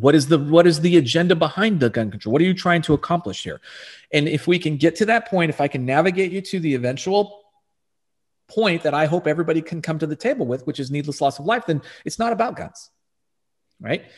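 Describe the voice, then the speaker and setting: This man talks at a very fast pace with lively intonation and a fairly high pitch. The background is quiet. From Texas. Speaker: firearms instructor. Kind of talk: interview.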